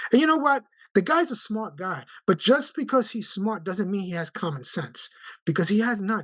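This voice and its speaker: An animated, high-pitched male voice in a New York accent, with very wide pitch swings at a moderate pace. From Brooklyn, New York. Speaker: union branch president, letter carrier. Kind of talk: video call meeting discussion.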